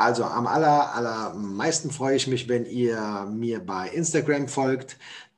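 Very slow male speech of medium pitch, varying in an ordinary way. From Hessen, Germany. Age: 40s. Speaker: motivational speaker. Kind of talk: podcast interview.

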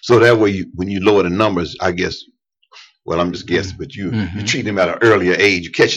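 A man speaks at a very deep, low pitch in a monotone, flat delivery. He goes at a very fast pace, with big swings in loudness. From East Tennessee. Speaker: radio host. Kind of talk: interview.

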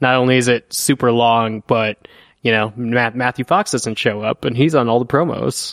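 In a plain, everyday voice, a man speaks at a moderate pace and medium pitch, with fairly even intonation and very even loudness, over a quiet background in a dry, close sound with no echo. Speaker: podcast co-host. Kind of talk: casual chat.

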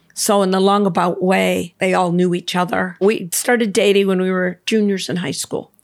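A woman's monotone, flat delivery in an American accent, medium in pitch, with hardly any pauses. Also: moderate pace. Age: 60s. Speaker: swim instructor. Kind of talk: casual chat.

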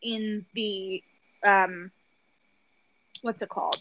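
A woman speaks with a Philadelphia accent. Her pace is very slow. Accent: Philadelphia American. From Philadelphia, US. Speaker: podcast co-host. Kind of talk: casual chat. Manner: animated, swears casually.

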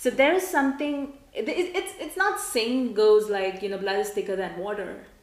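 Over noticeable background noise, the speaker's pitch swings very widely at a moderate pace, with hardly any pauses. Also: woman, high pitch for a woman. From India. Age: 30s. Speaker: podcast host. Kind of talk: interview.

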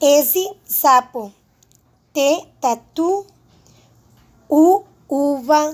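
Speech comes at a very slow pace with long, frequent pauses and ordinary pitch variation. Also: woman, high pitch for a woman. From Spanish-speaking country. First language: Spanish (speaking Portuguese). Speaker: Portuguese language student. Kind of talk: presentation.

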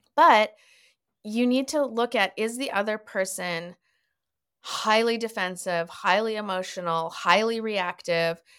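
Here is a woman with a normal speaking voice and a Canadian accent. Her pitch is fairly high with ordinary variation, and her pace is fairly slow. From Canada (Winnipeg, Toronto, Montreal). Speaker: author and therapist. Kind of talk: podcast interview.

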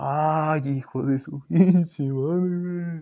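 A man with a Mexican accent speaks in an animated tone, his pitch fairly high and his pitch variation ordinary. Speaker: podcast host. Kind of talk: casual monologue.

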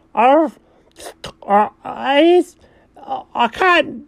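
A man puts on a character voice. He pitches it extremely high. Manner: hesitant, mumbled, struggling to speak.

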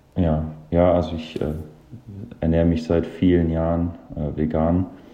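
Very deep, low voice of a man, with audible room echo. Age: 30s. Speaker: professional football goalkeeper. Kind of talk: interview. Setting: remote recording from home.

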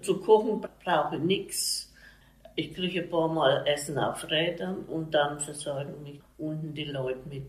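A woman with a fairly low pitch speaks at a fairly slow pace, her pitch varying in an ordinary way and her loudness swinging widely. Noticeable background noise and audible room echo fill the recording. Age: 80s+. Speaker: retired baker's family member. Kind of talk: casual interview.

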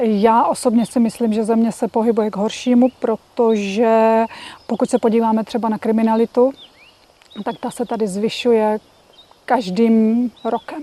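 Her voice is a plain, everyday voice, fairly high in pitch for a woman, with fairly even intonation. She talks at a moderate pace, and the sound is dry and close with no echo. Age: 50s. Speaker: Czech emigrant in South Africa. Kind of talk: interview.

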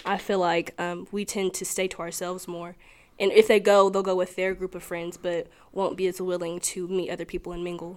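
A woman with a Tennessee accent speaks at a fairly quick pace in a medium pitch, with monotone, flat intonation. Her loudness swings widely, and the recording is very clean with a silent background. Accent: Southern US (Tennessee). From US South, Tennessee. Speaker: college student. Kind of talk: casual interview. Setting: indoor room on campus.

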